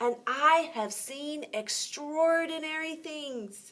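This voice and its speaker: In a put-on character voice, a woman speaks at a high pitch. Her pace is very slow. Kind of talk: bedtime story. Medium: read story. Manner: animated.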